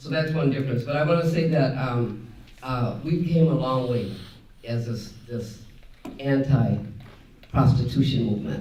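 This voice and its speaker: Audible room echo around a man's fairly high voice, moderate in pace and ordinary in pitch variation. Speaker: panelist, anti-prostitution activist. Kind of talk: conference panel Q&A.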